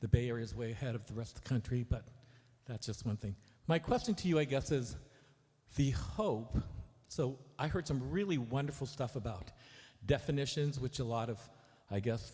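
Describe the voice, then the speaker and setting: Pausing long and often, a man speaks fairly quickly in a dark, mellow, somewhat breathy voice of medium pitch with ordinary pitch variation. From Korea. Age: 60s. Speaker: audience member asking a question. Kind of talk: audience question at a lecture Q&A. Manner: halting, with many fillers.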